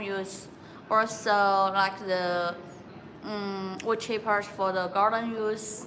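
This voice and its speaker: A woman speaks at a very slow pace in a bright, sharp tone, with medium pitch and monotone, flat intonation. Audible room echo fills the recording. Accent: Chinese. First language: Chinese. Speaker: factory sales representative. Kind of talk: live-stream sales presentation. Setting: factory showroom. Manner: halting, many filler sounds.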